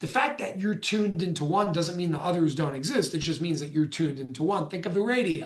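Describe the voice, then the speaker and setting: The speaker talks at a very fast pace with an American accent. There are hardly any pauses. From New York. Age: 20s. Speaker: spiritual speaker. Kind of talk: talk to live audience.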